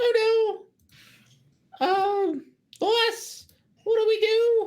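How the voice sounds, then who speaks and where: An extremely high, squeaky put-on character voice drags along at a very slow pace. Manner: panicked, worried.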